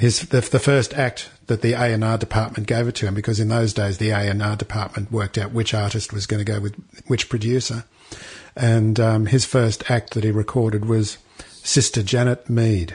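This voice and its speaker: A man in an Australian accent speaks with a somewhat breathy voice and monotone, flat intonation. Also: medium pitch for a man, moderate pace. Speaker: podcast co-host, musician. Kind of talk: casual chat.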